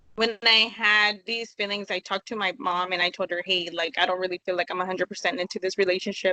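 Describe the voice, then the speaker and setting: Her tone is bright and sharp. The woman's voice sounds dry and close, with no echo. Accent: American. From California. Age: 20s. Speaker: interview guest. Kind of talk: interview.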